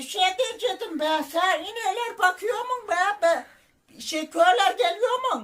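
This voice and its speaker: The voice is a put-on character. Its delivery is fairly slow. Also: man, extremely high pitch for a man. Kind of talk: prank phone call.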